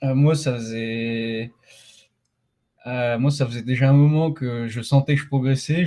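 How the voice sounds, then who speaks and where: Very slowly, a man speaks in a medium-pitched voice with a dark, mellow tone and fairly even intonation. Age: 20s. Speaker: middle-distance runner. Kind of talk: podcast interview. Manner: halting, many fillers.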